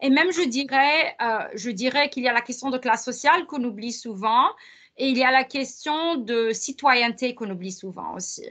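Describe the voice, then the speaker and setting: Against a quiet background, a woman with a high pitch and a bright, sharp tone speaks at a moderate pace, her pitch varying in an ordinary way. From Lebanon. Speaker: professor. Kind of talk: interview conversation. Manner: hesitant with many fillers.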